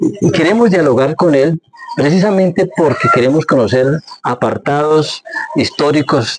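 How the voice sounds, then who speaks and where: A man speaks rather slowly with lively intonation, noticeable background noise behind him. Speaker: interviewer, community program host. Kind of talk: interview questions, radio-style introduction.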